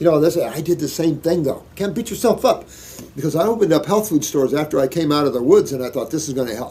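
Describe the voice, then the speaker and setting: A man with an American accent talks at a very fast clip, his high voice swinging very widely in pitch. His tone is animated, and noticeable background noise runs underneath. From US Midwest, Indiana. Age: 60s. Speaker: naturopath answering viewer questions. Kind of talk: Q&A reading and answering letters.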